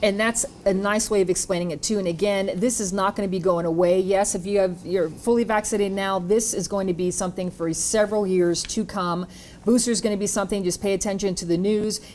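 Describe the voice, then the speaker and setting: Speaking very fast, a woman keeps a medium pitch with monotone, flat intonation. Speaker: TV health program host. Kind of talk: TV panel interview.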